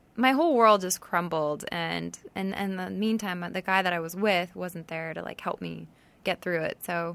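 Recorded very cleanly over a silent background, a woman speaks at a moderate pace. Her pitch shows ordinary variation. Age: 30s. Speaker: reality TV contestant and author. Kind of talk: casual chat. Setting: studio.

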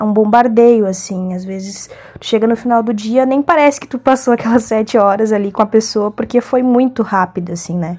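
A woman speaks at a fairly quick pace with a fairly high pitch. Her pitch variation is ordinary, and she has an ordinary speaking voice. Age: 20s. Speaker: hair braider. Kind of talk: casual self-introduction.

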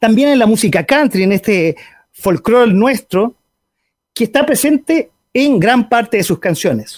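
A man with a high pitch and lively intonation at a fairly slow pace, very even in loudness, in a very clean recording with a silent background and a dry, close sound with no echo. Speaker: internet radio host. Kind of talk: casual talk show interview. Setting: radio studio with webcam stream.

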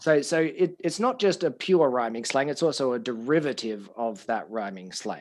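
In an Australian accent, a man speaks at a moderate pace with a fairly high pitch and lively intonation. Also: hardly any pauses. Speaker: podcast host and language school owner. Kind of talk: casual interview chat. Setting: studio.

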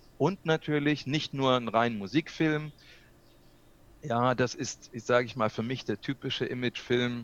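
The sound is dry and close with no echo, over a quiet background. A man speaks with ordinary pitch variation. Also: medium pitch for a man, fairly slow pace. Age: 60s. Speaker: videographer and video coach. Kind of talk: interview. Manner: hesitant, many fillers.

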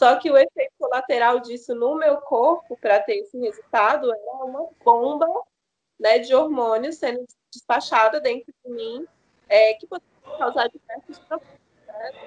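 The sound is dry and close with no echo, and her loudness swings widely. A woman with a high pitch speaks at a moderate pace with ordinary pitch variation. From Maranhão, Brazil. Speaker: doula and holistic health entrepreneur. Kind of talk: podcast interview.

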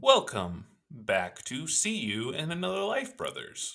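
A man puts on a character voice with a fairly high pitch. He speaks at a fairly slow pace. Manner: robotic.

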